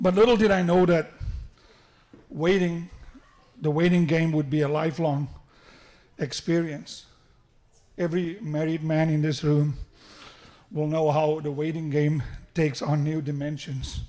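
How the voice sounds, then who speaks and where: A man's fairly high-pitched voice, dark and mellow in tone, at a moderate pace with fairly even intonation and long, frequent pauses. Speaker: father of the groom. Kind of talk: wedding speech. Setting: wedding reception with PA system.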